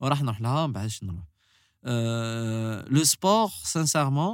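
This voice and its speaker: Very clean, with a silent background, the recording has a dry, close sound with no echo. A man speaks at medium pitch. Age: 20s. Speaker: musician. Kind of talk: casual interview. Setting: studio.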